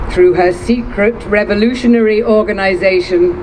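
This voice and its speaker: The background noise is noticeable. Over it, a woman talks at a moderate pace. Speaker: actress. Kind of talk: public reading of a historic proclamation. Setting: outdoors. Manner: powerful, passionate.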